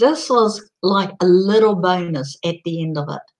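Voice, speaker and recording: Speaking very slowly, a woman uses an Australian accent. Her pitch is medium and varies in an ordinary way. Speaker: online community promoter. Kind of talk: live stream presentation. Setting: live video broadcast. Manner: gets loud and passionate.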